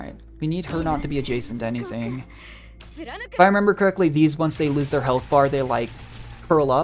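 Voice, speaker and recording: Music can be heard behind the voice. The man keeps a moderate pace, his pitch varying in an ordinary way. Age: 20s. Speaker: gaming streamer. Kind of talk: live gameplay commentary. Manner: casual, thinking aloud.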